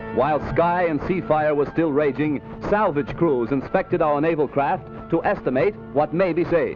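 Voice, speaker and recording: A man at a moderate pace with ordinary pitch variation, music playing in the background. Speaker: newsreel commentator. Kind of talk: 1940s newsreel narration.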